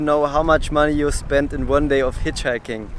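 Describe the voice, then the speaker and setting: A man with a German accent talks at a fairly quick pace. His pitch is fairly high, and background noise is noticeable. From southern Germany. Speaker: travel vlogger. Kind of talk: casual vlog talk to camera, answering viewer questions. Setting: outdoors. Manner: animated.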